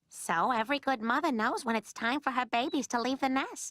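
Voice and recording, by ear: A female-sounding, cartoonish character voice, high in pitch and fairly quick, on a very clean recording with a silent background.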